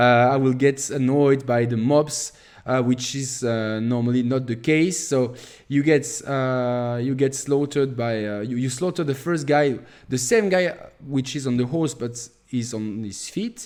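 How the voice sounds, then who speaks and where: Speaking with a French accent, the man has a medium pitch, ordinary pitch variation and a fairly slow pace. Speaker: gaming youtuber. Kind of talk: gameplay tutorial. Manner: halting, many fillers.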